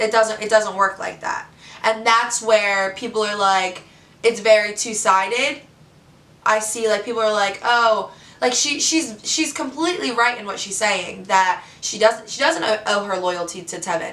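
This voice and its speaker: Amid audible room echo, a woman speaks in an animated tone at a fairly high pitch, with big swings in loudness. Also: ordinary pitch variation, moderate pace. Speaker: reality TV contestant. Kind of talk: vlog monologue.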